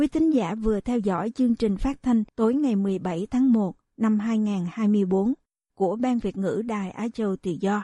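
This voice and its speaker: Against a quiet background, a woman speaks very slowly in a somewhat breathy, fairly high voice with a dark, mellow tone and ordinary pitch variation, the sound dry and close with no echo. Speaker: radio host. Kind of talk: news reading. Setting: studio. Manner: formal.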